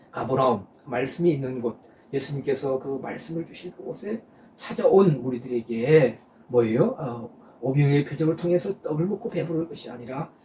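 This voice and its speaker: A man speaks at a fairly high pitch with big swings in loudness. Background noise is noticeable. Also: moderate pace. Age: 60s. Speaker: pastor. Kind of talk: sermon. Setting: online live stream. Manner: halting, many filler sounds.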